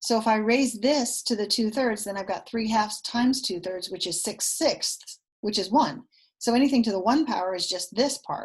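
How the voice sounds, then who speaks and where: The voice is somewhat breathy, with ordinary pitch variation. The background is quiet. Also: woman, fairly high pitch for a woman. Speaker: math teacher. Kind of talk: recorded lesson. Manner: fast.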